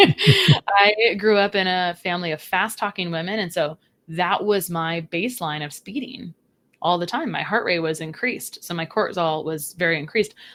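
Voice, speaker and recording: A very clean recording with a silent background, its speech showing ordinary pitch variation. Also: woman, fairly low pitch for a woman. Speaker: registered dietitian. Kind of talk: podcast interview. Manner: fast; animated.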